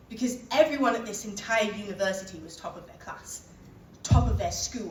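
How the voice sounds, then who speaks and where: A woman with a Teesside accent talks at a moderate pace with ordinary pitch variation. Audible room echo and noticeable background noise fill the recording. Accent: northern English, Teesside. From northern England. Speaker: keynote speaker. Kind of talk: motivational speech.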